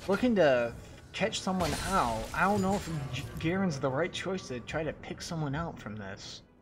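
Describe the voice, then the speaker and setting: Over background music, a man speaks with very wide pitch swings. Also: moderate pace. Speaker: esports caster. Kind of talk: live commentary. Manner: animated.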